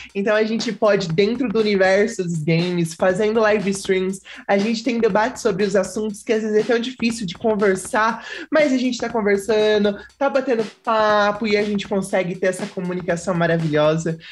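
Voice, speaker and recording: Against a quiet background, a woman with an ordinary speaking voice talks at a moderate pace and medium pitch, with ordinary pitch variation and hardly any pauses. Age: 20s. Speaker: streamer and youtuber. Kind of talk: casual chat.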